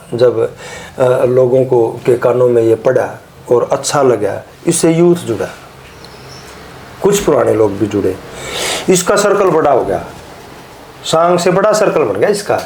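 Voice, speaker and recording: Against noticeable background noise, a man with a Haryana accent talks in a fairly high pitch with very wide pitch swings, very even loudness and long, frequent pauses. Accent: Haryanvi. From Haryana, India. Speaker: Haryanvi ragni singer and lyricist. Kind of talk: interview answer.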